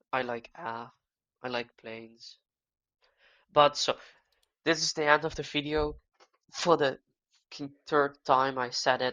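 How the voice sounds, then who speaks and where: Against a quiet background, the speaker talks at a fairly slow pace with a Dutch accent, leaving long, frequent pauses. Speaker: gaming youtuber. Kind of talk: casual monologue. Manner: halting.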